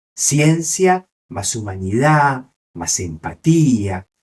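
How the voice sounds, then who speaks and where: Speaking with an Argentine accent, a man uses lively intonation in a somewhat breathy voice. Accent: Rioplatense Argentine Spanish. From Argentina. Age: 60s. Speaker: neurologist. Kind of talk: interview.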